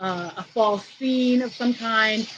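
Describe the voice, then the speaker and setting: Here is a woman with a fairly high pitch. Her pitch variation is ordinary. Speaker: art teacher. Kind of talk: live tutorial wrap-up. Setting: outdoors on vacation, livestream. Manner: loud.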